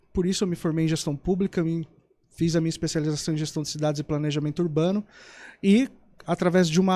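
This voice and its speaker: Delivery is fairly quick with fairly even intonation. The recording is very clean, with a silent background. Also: man. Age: 30s. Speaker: mayoral candidate. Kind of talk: political interview. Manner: formal.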